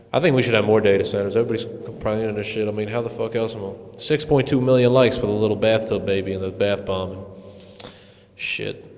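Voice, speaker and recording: Mumbling at a very fast pace with fairly even intonation, a man speaks over noticeable background noise and audible room echo. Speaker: podcast host. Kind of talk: casual chat. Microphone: echo from mic gain set too high.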